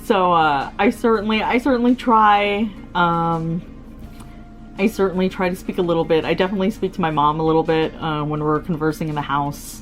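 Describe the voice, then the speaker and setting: Music plays in the background as a woman with an American accent talks fairly quickly in a fairly low pitch with ordinary pitch variation. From United States. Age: 30s. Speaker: YouTuber. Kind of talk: casual vlog monologue. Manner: hesitant with frequent fillers.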